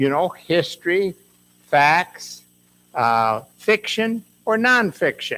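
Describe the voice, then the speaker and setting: A man with a high pitch talks very slowly, taking long, frequent pauses while his pitch swings very widely. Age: 80s+. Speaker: retired medical worker and author. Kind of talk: author talk.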